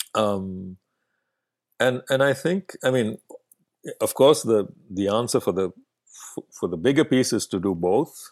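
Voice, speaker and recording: A man with an Indian accent speaks at a medium pitch and a fairly slow pace, with lively intonation. Long, frequent pauses break up his speech, and the sound is dry and close with no echo. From Bangalore, south India. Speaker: festival artistic director and curator. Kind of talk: interview conversation. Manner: hesitant, many filler words.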